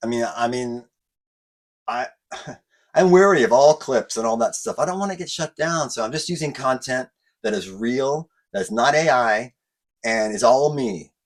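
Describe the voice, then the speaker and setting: A man talks at a moderate pace with medium pitch and lively intonation. He leaves long, frequent pauses. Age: 50s. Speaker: YouTube car modification channel host. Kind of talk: casual talk to camera.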